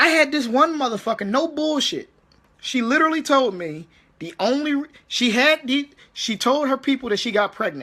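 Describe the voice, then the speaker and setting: A man speaks in a raised, projected voice at an extremely high pitch, with lively intonation, an animated tone and a moderate pace. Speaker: army veteran vlogger. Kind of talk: casual rant monologue. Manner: halting, repetitive.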